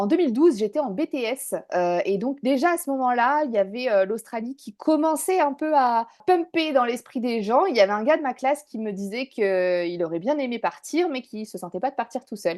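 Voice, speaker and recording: A woman talks at a fairly quick pace with very wide pitch swings. The background is quiet. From northern France, Dunkirk. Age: 30s. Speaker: business owner, former expat. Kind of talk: interview testimony. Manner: hesitant, many fillers.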